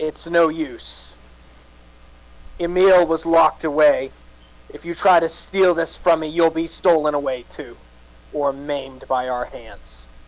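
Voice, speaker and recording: Using a put-on character voice, a man speaks gruffly in a fairly high pitch at a fairly slow pace, with long, frequent pauses. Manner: menacing, growling.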